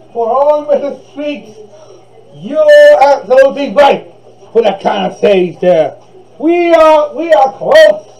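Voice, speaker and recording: Speaking at a very slow pace, a man with an extremely high pitch shows ordinary pitch variation. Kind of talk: rambling playful performance with repetitions. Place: home room. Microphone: camera far.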